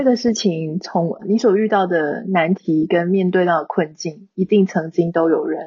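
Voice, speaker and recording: Somewhat breathy, a woman speaks at a fairly slow pace in a fairly low voice. Her pitch varies in an ordinary way. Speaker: online content creator. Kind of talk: casual interview.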